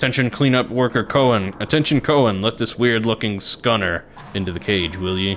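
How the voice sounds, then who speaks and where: A man uses a gruff, put-on character voice at a medium pitch. He speaks at a fairly quick pace over clear background noise. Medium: game stream. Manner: gruff, commanding.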